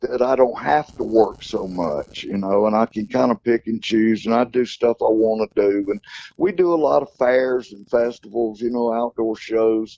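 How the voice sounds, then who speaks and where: A man with a Southern US accent speaks at a moderate pace and a medium pitch. His tone is dark and mellow, and the sound is dry and close with no echo. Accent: Southern US (Georgia). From US South, Athens Georgia. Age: 60s. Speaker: country singer. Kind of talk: interview.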